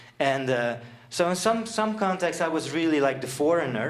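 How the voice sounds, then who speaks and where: A man speaks with a Dutch accent at a moderate pace. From Netherlands, Friesland. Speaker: seminar presenter. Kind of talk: presentation. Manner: halting, many fillers.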